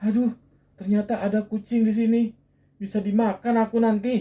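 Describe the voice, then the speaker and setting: This female-sounding voice is a put-on character voice, pitched fairly high and shaky. It moves at a moderate pace with flat, monotone intonation. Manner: scared, trembling.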